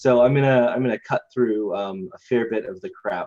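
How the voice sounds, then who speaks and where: At a fairly quick pace, a man with an American accent talks in an ordinary speaking voice at a medium pitch. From Idaho, US. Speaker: IT company co-founder. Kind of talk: webinar presentation.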